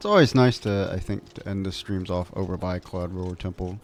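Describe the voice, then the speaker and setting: Fairly quick in pace, a man speaks with a very deep, low pitch. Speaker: video game streamer. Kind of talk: casual gameplay commentary. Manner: halting, many fillers and restarts.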